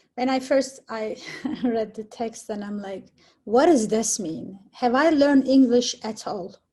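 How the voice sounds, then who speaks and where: Speaking fairly slowly with a non-native accent, a woman has a fairly high pitch and ordinary pitch variation. Her tone is dark and mellow. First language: not English. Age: 40s. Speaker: community theater actor. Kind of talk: casual chat.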